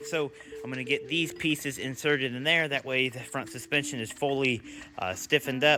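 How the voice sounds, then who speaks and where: A man with medium pitch talks at a very fast pace over noticeable background noise. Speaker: DIY vehicle builder. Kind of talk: workshop build tutorial. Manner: casual, frequent uh fillers.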